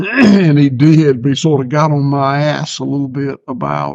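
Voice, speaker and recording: A man with a Southern US accent. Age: 60s. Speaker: farmer. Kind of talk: casual chat. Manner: halting, repeats words.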